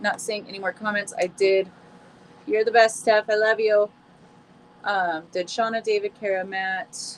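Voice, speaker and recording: A woman at medium pitch, fairly slow and fairly even, with long, frequent pauses over noticeable background noise. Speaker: tarot reader. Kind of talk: live stream chat. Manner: casual, warm.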